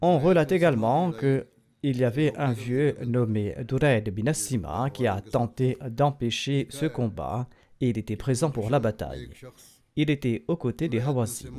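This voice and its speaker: A man's medium-pitched voice with vocal fry, a fairly slow pace and ordinary pitch variation, on a very clean recording with a silent background. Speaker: religious leader giving a sermon. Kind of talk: religious sermon delivered as historical narration.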